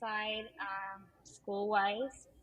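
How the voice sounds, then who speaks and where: In a Peruvian accent, a woman speaks. Her voice is somewhat breathy. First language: Spanish. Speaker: teacher. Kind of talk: casual interview. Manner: hesitant, many fillers.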